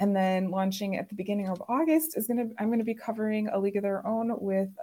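With an American accent, a woman talks at a fairly quick pace in a fairly high, somewhat breathy voice of dark, mellow tone, her pitch varying in an ordinary way. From Chicago suburbs. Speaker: podcast host. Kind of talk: casual chat.

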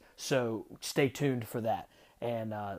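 Pitch varies in an ordinary way across a very clean recording with a silent background. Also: man. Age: 30s. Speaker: firefighter podcast host. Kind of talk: casual interview. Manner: animated.

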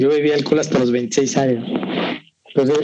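Pitch variation is ordinary in an ordinary speaking voice. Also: man. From Veracruz, Mexico. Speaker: whisky collector. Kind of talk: casual interview.

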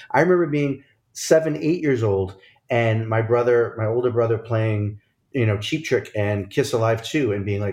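His voice comes across as somewhat breathy. The man keeps up a fairly quick pace. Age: 40s. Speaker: podcast host and chef. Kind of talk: casual chat.

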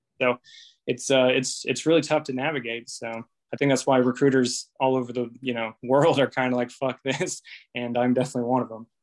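Against a quiet background, a man speaks fairly quickly at medium pitch in a flat, monotone way, the sound dry and close with no echo. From Indiana. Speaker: navy recruiter. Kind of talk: casual chat.

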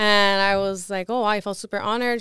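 The recording is very clean, with a silent background. A woman talks at a medium pitch with fairly even intonation. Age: 20s. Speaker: domestic violence victim advocate. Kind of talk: casual interview.

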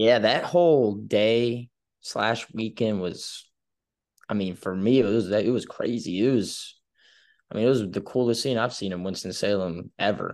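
A man's normal speaking voice, medium-pitched, with an American accent, ordinary pitch variation and a fairly slow pace. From coastal North Carolina, US. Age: 20s. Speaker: college baseball player. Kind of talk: interview.

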